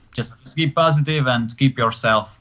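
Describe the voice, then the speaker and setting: The man's voice sits at a medium pitch. Fairly even intonation runs through his speech. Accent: Hungarian. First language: Hungarian. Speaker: pro wrestler. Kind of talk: casual chat. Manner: halting.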